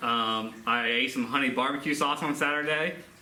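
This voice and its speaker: At a fairly slow pace and with fairly even intonation, a man talks amid noticeable background noise and audible room echo. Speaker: history teacher. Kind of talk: recorded class lesson. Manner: loud.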